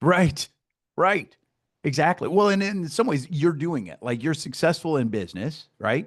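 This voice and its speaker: A man with a Midwestern American accent speaks at a moderate pace in a fairly high pitch, with vocal fry, lively intonation and big swings in loudness, against a quiet background. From US Midwest, Iowa. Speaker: success coach and podcast host. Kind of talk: casual interview chat. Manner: animated.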